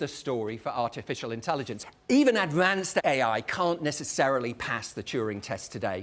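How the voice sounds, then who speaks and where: Speaking at a moderate pace, a man with a British accent has an animated tone. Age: 50s. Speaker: professor giving public lecture. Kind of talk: lecture. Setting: stage with audience.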